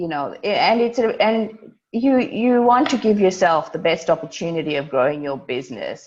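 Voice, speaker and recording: A woman's moderate-paced speech with lively intonation. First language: not English. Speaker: lawyer. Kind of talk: online workshop. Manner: blunt, direct; halting, many restarts.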